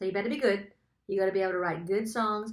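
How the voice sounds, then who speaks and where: An animated woman's voice with an Australian accent. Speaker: songwriter and songwriting coach. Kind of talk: webinar tutorial. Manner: casual and animated.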